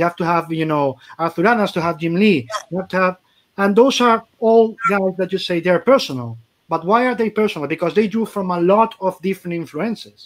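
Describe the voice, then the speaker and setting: With a Spanish accent, a man speaks in a high voice at a fairly quick pace. His pitch varies in an ordinary way. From Spain. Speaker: comic podcast host. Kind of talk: casual chat. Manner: animated. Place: home room. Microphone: video call.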